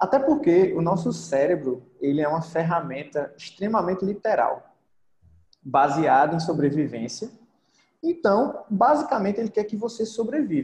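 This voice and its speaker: Very wide pitch swings in a man's high voice, delivered at a moderate pace. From Brazil, interior of Pernambuco (Arcoverde). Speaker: podcaster and online entrepreneur. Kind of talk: casual interview.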